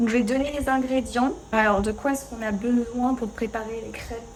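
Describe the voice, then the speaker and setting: Over noticeable background noise, a woman talks at a moderate pace in a high pitch with fairly even intonation. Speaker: French teacher. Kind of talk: casual talk to camera while cooking. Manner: natural pace, conversational, many fillers.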